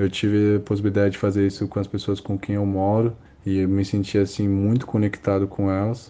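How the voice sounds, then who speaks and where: A man with a fairly low pitch and a dark, mellow tone talks at a fairly quick pace. His loudness is very even and his intonation monotone and flat. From Brazil. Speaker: audiovisual producer. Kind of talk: interview testimony.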